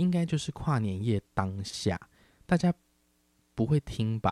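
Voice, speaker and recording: Recorded very cleanly against a silent background, with a dry, close sound and no echo, a man speaks in a relaxed tone with very wide pitch swings. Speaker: podcast host. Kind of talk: casual solo podcast chat. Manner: relaxed, unhurried.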